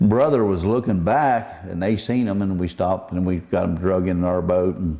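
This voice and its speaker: A man with a Southern US accent speaks in a very deep, low voice with ordinary pitch variation. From Southwest Florida. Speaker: commercial net fisherman. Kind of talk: oral history interview answer.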